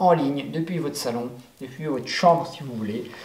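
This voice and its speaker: A man talks fairly quickly at a medium pitch with ordinary pitch variation. Noticeable background noise and audible room echo surround him. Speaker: life coach. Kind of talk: motivational talk. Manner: hesitant, many fillers.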